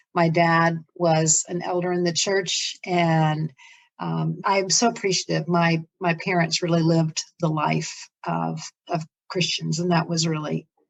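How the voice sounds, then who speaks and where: Talking fairly slowly in an American accent, a woman has a fairly low pitch and monotone, flat intonation. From Florida, US South. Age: 60s. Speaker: ministry leader. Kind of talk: interview, life story.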